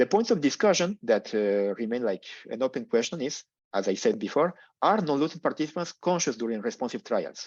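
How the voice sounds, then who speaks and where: At a fairly quick pace, a man speaks at a fairly high pitch with very wide pitch swings. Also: quiet background. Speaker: neurologist and PhD researcher. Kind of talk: lecture. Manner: fast.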